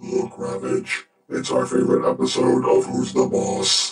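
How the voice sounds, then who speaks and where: Using a put-on character voice, a man speaks at a moderate pace with strong echo around him. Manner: deadpan.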